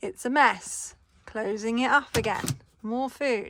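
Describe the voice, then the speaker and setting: A woman with an English accent, a cheerful tone and lively intonation, at a very slow pace. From England. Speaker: van dweller and DIY builder. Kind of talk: casual home tour to camera. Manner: cheerful, chatty.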